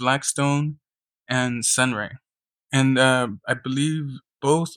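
A man's medium-pitched voice comes through with a dry, close sound and no echo. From Kern County, California. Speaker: community organizer. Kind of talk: interview.

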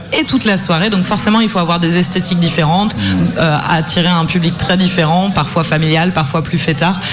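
Over background music, a woman with a fairly low pitch talks fairly quickly in an enthusiastic, excited tone, her loudness very even. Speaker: festival programmer. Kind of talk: interview in live radio. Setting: live studio.

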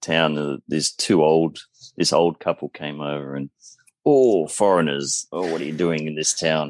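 In an Australian accent, the speaker keeps a fairly even intonation, captured with a dry, close sound with no echo. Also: man. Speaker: podcast guest, motorbike traveller. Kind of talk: casual chat.

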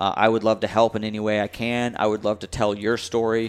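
The man has an American accent. His speech is very fast. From US South, North Carolina (Raleigh). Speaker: adaptive athlete. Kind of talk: interview. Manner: animated.

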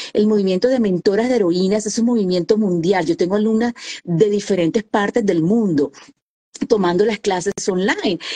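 A woman's fairly high, dark, mellow voice at a moderate pace, ordinary pitch variation, dry, close sound with no echo. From Colombia, Caribbean coast (Santa Marta). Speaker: author and women's coach. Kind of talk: interview.

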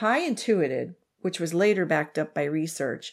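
In a very clean recording with a silent background, a woman with an unremarkable speaking voice talks at a moderate pace, with fairly low pitch and ordinary pitch variation. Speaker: true crime podcast host. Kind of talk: casual chat and true crime storytelling.

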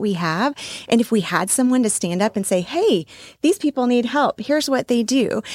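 Fairly quick and lively in intonation, a woman with an American accent talks in an ordinary speaking voice at fairly high pitch, recorded with a dry, close sound and no echo. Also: very clean recording, silent background. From Texas. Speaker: pageant titleholder and life coach. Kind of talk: interview. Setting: studio.

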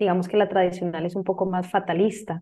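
A woman with an ordinary speaking voice at medium pitch and a fairly quick pace. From Costa Rica. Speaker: business coach and astrologer. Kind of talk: casual interview.

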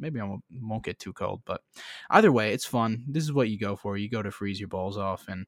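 In an American accent, a man speaks at a fairly quick pace, the sound dry and close with no echo on a very clean recording with a silent background. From Florida. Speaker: podcast host, football fan. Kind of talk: casual sports chat podcast.

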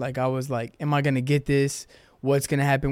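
A man with an American accent talks fairly quickly, his pitch fairly high. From Houston, Texas. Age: young. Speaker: college basketball player. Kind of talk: casual interview.

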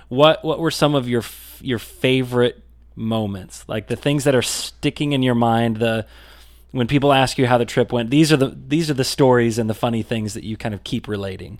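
A man's ordinary speaking voice, medium in pitch, at a moderate pace with ordinary pitch variation, on a very clean recording with a silent background. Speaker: co-host, video producer. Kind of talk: casual interview chat.

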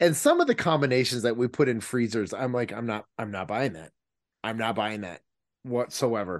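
An unremarkable speaking voice from a man at medium pitch and moderate pace, with ordinary pitch variation and big swings in loudness. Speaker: podcast host. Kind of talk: casual chat. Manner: jokey, rambling.

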